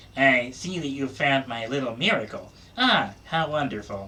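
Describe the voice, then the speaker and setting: Against clear background noise, a nasal put-on character voice at a low-to-middle pitch moves at a moderate pace. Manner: quiet.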